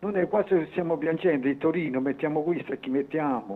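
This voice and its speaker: The pitch varies in an ordinary way. The man keeps to a moderate tempo. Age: 70s. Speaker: caller, football fan. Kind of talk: phone-in call. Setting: phone call. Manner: animated, halting.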